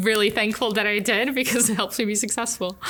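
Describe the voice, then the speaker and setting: Her pitch variation is ordinary as the woman delivers her words at a fairly quick pace. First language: not English. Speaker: engineering professor. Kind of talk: interview.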